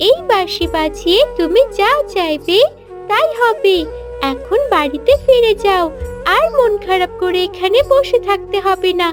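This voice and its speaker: An extremely high-pitched, cartoonish character voice speaks at a fairly slow pace over clear music in the background. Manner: warm, gentle.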